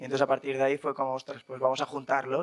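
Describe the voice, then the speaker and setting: A man speaks at a fairly high pitch. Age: 20s. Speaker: startup founder. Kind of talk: panel interview. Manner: casual, hesitant with fillers.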